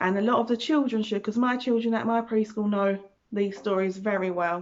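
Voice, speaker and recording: Delivered at a fairly quick pace with a British accent, the speech holds a very even loudness throughout. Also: woman, fairly high pitch for a woman, ordinary pitch variation. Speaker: preschool teacher reading stories. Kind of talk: children's storytime reading. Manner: animated.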